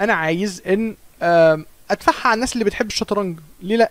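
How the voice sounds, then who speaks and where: A man speaks at a fairly quick pace, his voice dry with no echo. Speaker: chess streamer. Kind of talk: live stream commentary. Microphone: studio mic.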